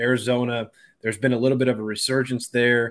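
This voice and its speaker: This man has a plain, everyday voice at a medium pitch. He talks at a fairly quick pace against a quiet background. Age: middle-aged. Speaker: former college quarterback and radio analyst. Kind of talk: interview.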